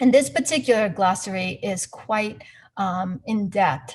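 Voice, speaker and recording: Somewhat breathy, a woman of medium pitch speaks at a moderate pace with lively intonation. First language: not English. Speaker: investment performance analyst. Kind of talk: webinar presentation. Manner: halting, searching for words.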